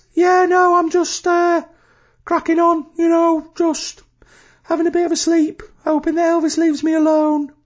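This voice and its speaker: In a put-on character voice with an extremely high pitch, the speaker keeps a monotone, flat intonation at a moderate pace, with long, frequent pauses. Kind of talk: casual, chatty. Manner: drowsy, laid-back.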